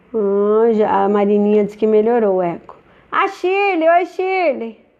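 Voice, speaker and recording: A woman speaks at a fairly slow pace with fairly high pitch. Her pitch swings very widely. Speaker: nutritionist. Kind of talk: live stream Q&A talk. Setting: live stream. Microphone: echo and stuttering stream, since improved.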